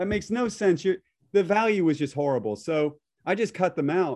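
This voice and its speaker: A man's dark, mellow tone at a moderate pace against a quiet background. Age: 50s. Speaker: real estate agent and team leader. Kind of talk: casual interview chat. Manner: blunt.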